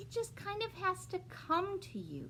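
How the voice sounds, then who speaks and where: A female-sounding, put-on character voice moves at a moderate pace over clear background noise. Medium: read story. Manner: gentle, slow.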